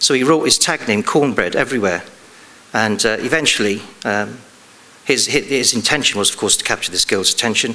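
Fairly quick in pace, a man speaks with ordinary pitch variation. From England. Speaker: police detective. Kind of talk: conference talk. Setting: stage with audience. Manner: halting. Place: stage.

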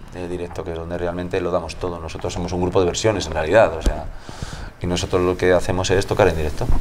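A man talks at a very fast pace with light background noise behind him. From Spain. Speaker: musician in a tribute band, music teacher. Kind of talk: interview. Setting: music venue. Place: bar. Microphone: lapel.

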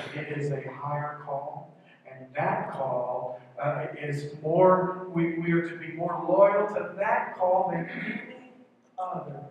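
A man speaks very slowly in a fairly high voice with ordinary pitch variation. Strong room echo and light background noise surround him. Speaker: pastor. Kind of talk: sermon. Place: church.

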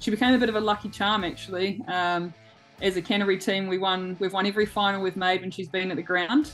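A woman at a fairly quick pace, with faint music in the background. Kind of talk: interview answer. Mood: warm, smiling. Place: home room. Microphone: video call.

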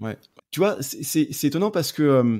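On a very clean recording with a silent background, a man speaks at a fairly high pitch. His intonation is lively. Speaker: podcast host and photography coach. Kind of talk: podcast interview.

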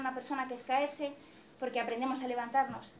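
A woman's high-pitched voice with fairly even intonation, audible room echo and light background noise. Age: 20s. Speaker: psychology student; presenter. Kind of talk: personal testimony. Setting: event hall with audience. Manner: hesitant, many fillers. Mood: reflective, earnest. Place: classroom. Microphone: camera far.

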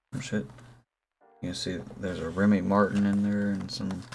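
A man's fairly low voice with fairly even intonation, music in the background. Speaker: streamer, vlogger. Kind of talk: casual vlog chat. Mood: relaxed, joking. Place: home room.

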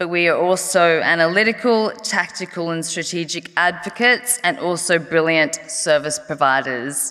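Woman in an Australian accent, fairly low pitch, ordinary pitch variation, moderate pace, quiet background. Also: hardly any pauses. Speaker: harm reduction advocate, NGO executive director. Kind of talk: conference speech. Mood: personal, earnest. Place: stage. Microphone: podium.

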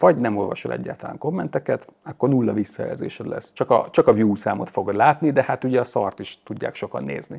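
Against a quiet background, a man's speech moves at a fairly quick pace. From Hungary. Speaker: YouTuber on electric cars. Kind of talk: casual chat. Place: garage. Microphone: lapel.

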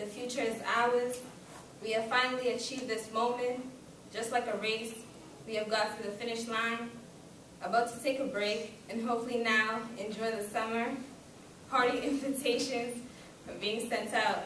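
The delivery moves at a moderate pace with long, frequent pauses. Room echo is audible, and there is light background noise. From Kenya. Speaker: student giving graduation speech. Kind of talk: speech. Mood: formal, grateful. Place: classroom. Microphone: camera far.

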